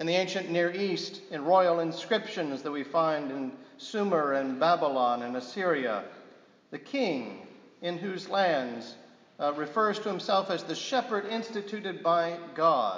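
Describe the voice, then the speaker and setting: There is audible room echo. A man speaks at a fairly slow pace. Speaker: priest preaching. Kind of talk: sermon. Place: church.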